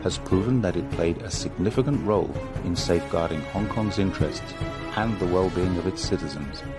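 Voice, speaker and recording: Music plays in the background as a man talks in a very deep, low voice. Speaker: voice-over narrator. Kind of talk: political documentary narration.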